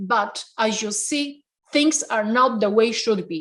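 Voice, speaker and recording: A woman speaks at a very slow pace. Her tone is passionate. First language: Polish. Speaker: restaurant owner. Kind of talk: interview. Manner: halting.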